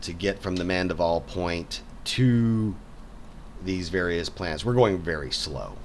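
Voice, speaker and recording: The man's pitch is very deep and low, with ordinary variation. He speaks at a very slow pace, and room echo can be heard. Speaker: game developer and artist. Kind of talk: casual game walkthrough. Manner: halting, many repetitions.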